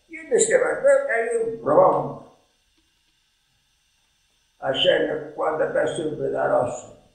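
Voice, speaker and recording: Against a quiet background with audible room echo, a man speaks at a very slow pace with long, frequent pauses. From Matera, southern Italy. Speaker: retired schoolteacher. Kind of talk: interview answer. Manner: ironic, humorous storytelling. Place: home room. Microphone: camera far.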